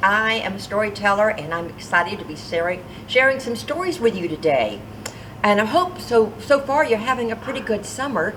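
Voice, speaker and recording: A woman's fairly high voice with very wide pitch swings over noticeable background noise. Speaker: storyteller. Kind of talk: children's storytelling. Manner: lively, expressive.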